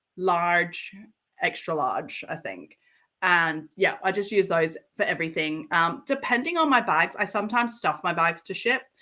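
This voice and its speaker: A woman with an Australian accent talks at a fairly slow pace in a bright, sharp tone. The recording is very clean, with a silent background. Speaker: bag maker running a handmade bag business. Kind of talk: casual chat.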